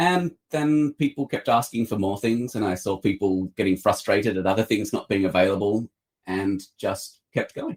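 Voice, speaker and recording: With an Australian accent, a man talks at a moderate pace in a medium pitch with lively intonation. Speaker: publisher. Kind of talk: interview. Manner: hesitant, many fillers.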